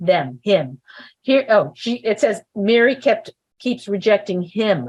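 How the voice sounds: This is a natural reading voice with ordinary pitch variation. The background is quiet.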